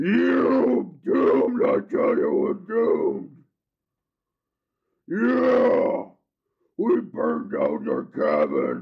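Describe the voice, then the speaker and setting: In a put-on character voice, a man speaks at a very slow pace with long, frequent pauses. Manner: gloating, menacing.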